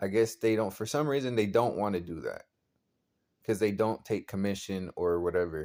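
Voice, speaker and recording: Using a dark, mellow tone, a man speaks at a moderate pace with a fairly low pitch and ordinary pitch variation. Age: 20s. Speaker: vlogger, aspiring model. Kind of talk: casual vlog monologue. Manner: halting, repetitive.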